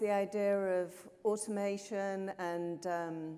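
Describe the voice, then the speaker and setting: Through noticeable background noise, a woman speaks at a medium pitch. She has a Yorkshire accent. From northern England, Yorkshire. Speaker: conference panel moderator, professor. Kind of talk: panel discussion.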